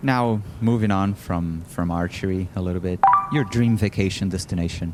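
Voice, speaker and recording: Noticeable background noise sits behind a man speaking at a moderate pace. His very deep, low voice shows ordinary pitch variation. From Brazil. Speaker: podcast host, Olympic archer. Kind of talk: podcast interview.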